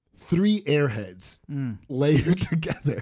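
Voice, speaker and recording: A man's fairly high-pitched, somewhat breathy voice, dark and mellow in tone, at a very slow pace with very wide pitch swings. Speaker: podcast host. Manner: animated storyteller.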